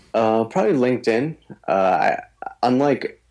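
Here a man speaks with an East Coast US accent. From US East Coast. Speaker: attorney and guitarist. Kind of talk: interview conversation. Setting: remote call.

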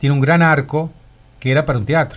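The voice belongs to a man. His pitch variation is ordinary. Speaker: former cinema owner, shopkeeper. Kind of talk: radio interview, reminiscing. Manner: halting, repetitive.

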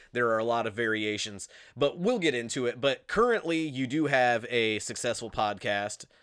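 A man with an Indiana accent, medium pitch, ordinary pitch variation and a moderate pace. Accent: Midwestern US (Indiana). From Indiana, US Midwest. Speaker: podcast host. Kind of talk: casual interview chat. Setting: video call.

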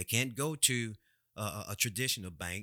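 A man with a Louisiana accent speaks at a moderate pace in a bright, sharp tone. The sound is dry and close with no echo, on a very clean recording with a silent background. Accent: Southern US (Louisiana). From Louisiana, US South. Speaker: personal finance podcast host. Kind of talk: solo podcast monologue. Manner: halting, repeats words.

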